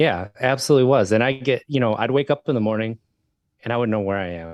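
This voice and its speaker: With an American accent, a man of medium pitch talks at a very fast pace with ordinary pitch variation, in a dry, close sound with no echo against a quiet background. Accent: slight Wisconsin accent, comes and goes. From Wisconsin. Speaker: podcast host, sobriety advocate. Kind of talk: interview, personal recovery story.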